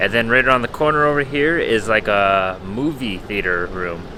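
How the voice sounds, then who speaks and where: A man with an American accent talks at a medium pitch and a moderate pace, his intonation lively. Noticeable background noise runs under his voice. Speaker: travel vlogger. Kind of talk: casual vlog talk to camera. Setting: airport terminal.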